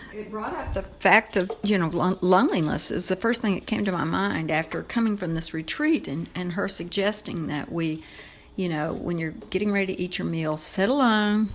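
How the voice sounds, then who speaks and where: In an ordinary speaking voice, a woman talks at a medium pitch and moderate pace with ordinary pitch variation. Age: 60s. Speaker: podcast guest, host's mother. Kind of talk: casual chat. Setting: family home kitchen.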